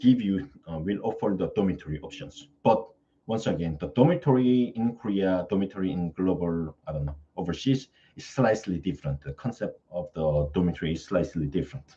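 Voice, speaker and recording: With a non-native accent, a man talks at a fairly quick pace in a dark, mellow tone, his fairly low pitch making very wide swings and his loudness rising and falling in big swings. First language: not English. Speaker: study-abroad service presenter. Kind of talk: live Q&A stream. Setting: live stream. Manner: halting, with frequent fillers.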